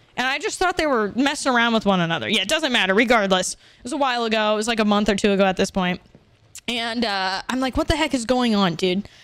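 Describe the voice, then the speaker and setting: Very fast and animated, a woman talks with a fairly high pitch and ordinary pitch variation, the sound dry with no echo. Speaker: video game streamer. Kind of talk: live gameplay stream chat. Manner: loud. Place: home room. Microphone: studio mic.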